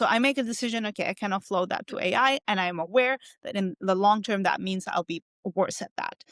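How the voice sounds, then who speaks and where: A woman with a non-native accent at a moderate pace, ordinary pitch variation, in a very clean recording with a silent background and a dry, close sound with no echo. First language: not English. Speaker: cognitive scientist. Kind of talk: interview. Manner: hesitant, many fillers.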